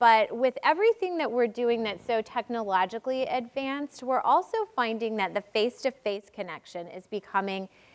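A woman talks at a moderate pace. She leaves hardly any pauses. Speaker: panel moderator. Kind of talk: panel introduction. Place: stage. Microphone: lapel.

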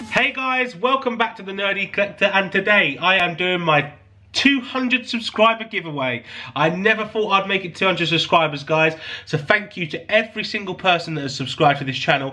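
In a raised, projected voice, a man with a high pitch speaks at a moderate pace with lively intonation. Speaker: YouTube collector channel host. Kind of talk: casual giveaway announcement to viewers. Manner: warm, grateful, enthusiastic.

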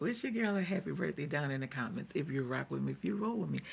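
A woman's voice with vocal fry. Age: 50s. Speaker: vlogger. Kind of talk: casual video vlog. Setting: office. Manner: animated. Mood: joyful, celebratory. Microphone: earbuds.

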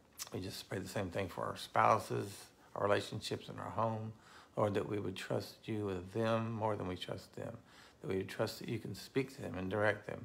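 Vocal fry from a man with a fairly low pitch, fairly even intonation and a moderate pace. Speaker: pastor. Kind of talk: fervent intercessory prayer. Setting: online video to a live audience of viewers. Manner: earnest, passionate, declaring; informal, chatty. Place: home room. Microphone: phone near.

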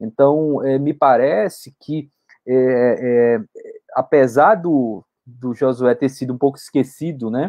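Very slow male speech with big swings in loudness and ordinary pitch variation over a quiet background. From Brazil, Pernambuco sertão (Arcoverde); Pernambuco, Brazil. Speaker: history professor. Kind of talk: interview. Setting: online live stream. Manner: halting, many fillers. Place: home room. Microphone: video call.

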